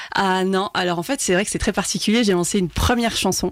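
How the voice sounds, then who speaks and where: Ordinary pitch variation marks a woman's speech at a medium pitch. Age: 30s. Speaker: singer. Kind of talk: radio interview. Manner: talkative, hesitant with fillers.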